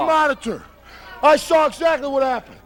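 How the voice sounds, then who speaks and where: A man at an extremely high pitch, angry and intense in tone, at a moderate pace amid noticeable background noise. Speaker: professional wrestler. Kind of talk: wrestling promo interview. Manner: angry, intense.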